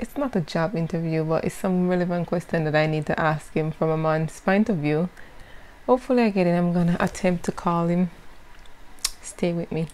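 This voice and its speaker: An unremarkable speaking voice moves at a fairly quick pace with ordinary pitch variation. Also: woman, fairly low pitch for a woman. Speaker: vlogger, interviewer. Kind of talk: casual talk to camera. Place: home room. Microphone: lapel.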